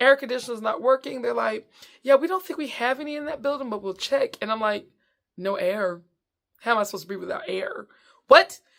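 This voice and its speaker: A woman speaks with a Southern US accent at a fairly quick pace, her high voice lively in intonation and swinging widely in loudness, with long, frequent pauses on a very clean recording over a silent background. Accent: Southern American. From Southern United States. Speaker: comedian. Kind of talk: casual storytelling to camera. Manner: upbeat, high-energy.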